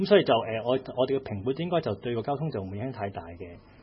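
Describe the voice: With lively intonation, a man at medium pitch talks at a very fast pace.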